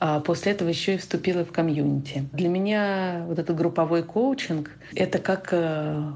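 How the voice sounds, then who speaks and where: A normal speaking voice with fairly even intonation, at a moderate pace. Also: woman. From Russia. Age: 30s. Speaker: lecturer and researcher, listener. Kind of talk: recorded listener testimonial.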